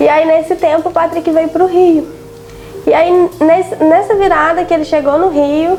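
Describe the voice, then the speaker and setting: A woman speaks in an extremely high voice at a fairly slow pace, with long, frequent pauses. Her intonation stays fairly even, her loudness very even, with noticeable background noise behind her. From Brazil, Minas Gerais. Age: 20s. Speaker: business partner and manager. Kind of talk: podcast interview.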